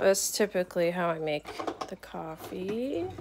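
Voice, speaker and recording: A woman speaks at a moderate pace in a fairly low pitch with ordinary pitch variation. Noticeable background noise sits behind her voice. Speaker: first-time vlogger. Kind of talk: casual vlog chat. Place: kitchen. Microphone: phone near.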